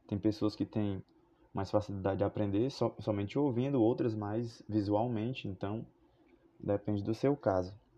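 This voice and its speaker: A man's fairly low voice moves at a moderate pace, its intonation fairly even. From Fortaleza, Ceará, Brazil. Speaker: philosophy teacher. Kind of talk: podcast monologue, educational. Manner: hesitant, with fillers and repetitions.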